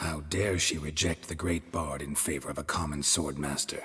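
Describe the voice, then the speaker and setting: A man growls in a put-on character voice with a very deep, low pitch. He keeps a moderate pace. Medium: video game. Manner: laconic, deadpan.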